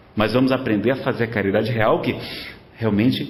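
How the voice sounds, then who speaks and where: Over noticeable background noise, a man's voice carries audible room echo. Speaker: spiritist lecturer. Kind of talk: lecture. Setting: spiritist centre with audience.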